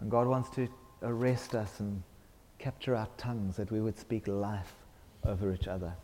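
A man speaks fairly slowly in a dark, mellow, fairly low voice, with fairly even intonation and long, frequent pauses. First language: English (speaking French). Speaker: visiting preacher. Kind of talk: sermon. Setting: church.

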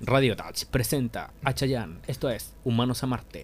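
Using a gruff, put-on character voice at medium pitch, a man speaks at a moderate pace over clear background noise. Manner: radio announcer, comedic.

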